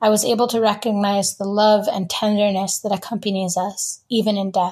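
With an American accent, a woman speaks at a moderate pace and medium pitch, somewhat breathy. Her intonation is monotone and flat, on a very clean recording with a silent background. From US Northeast (rural Vermont). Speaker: writer and photographer. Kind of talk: reading aloud; interview.

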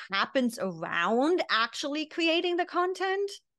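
A woman speaks with a German accent at a fairly slow pace. Her pitch swings very widely. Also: quiet background. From East Germany. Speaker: business consultant and mindset coach; mindset coach. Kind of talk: interview. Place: home room.

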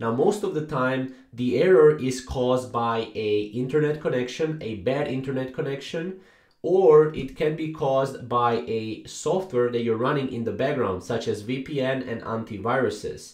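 The room echo is audible. A man speaks over a quiet background. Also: ordinary pitch variation, moderate pace. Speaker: tutorial narrator. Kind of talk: tutorial. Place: home room.

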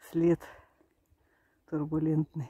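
The voice has a dark, mellow tone with a slightly husky edge. It moves at a slow pace with monotone, flat intonation. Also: woman, low pitch for a woman.

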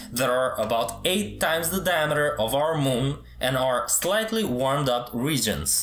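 This man speaks at a fairly slow pace, his voice carrying audible room echo. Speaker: presenter. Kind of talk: educational explainer. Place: home room.

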